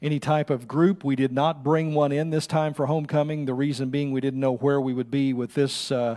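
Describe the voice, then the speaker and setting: With a quiet background, a man talks at a fairly quick pace in fairly even intonation. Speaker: pastor giving announcements. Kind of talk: church announcements. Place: church. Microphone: podium.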